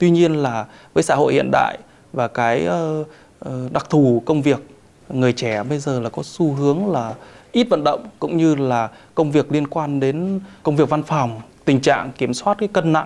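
At a fairly slow pace, a man speaks with lively intonation and a fairly high pitch. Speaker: military doctor. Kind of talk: TV interview. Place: studio. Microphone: lapel.

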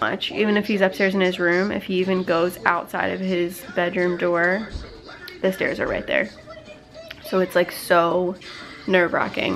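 With clear music in the background, a woman talks in a monotone, flat intonation. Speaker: stay-at-home mom vlogger. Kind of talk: casual vlog chat. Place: home room. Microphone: phone near.

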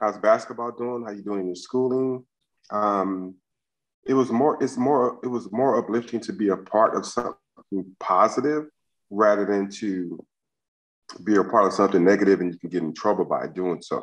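With an American accent, a man speaks at a moderate pace in a fairly low pitch, with ordinary pitch variation over a quiet background. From US West Coast, South Central Los Angeles; California. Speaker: former college basketball player; interview guest. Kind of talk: casual interview. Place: home room. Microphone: video call.

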